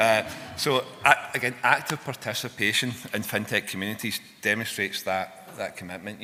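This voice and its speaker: With a Scottish accent, a man talks at a fairly quick pace in a fairly low pitch. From Scotland. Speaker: fintech software engineer and conference speaker. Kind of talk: conference talk. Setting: stage with audience. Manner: animated.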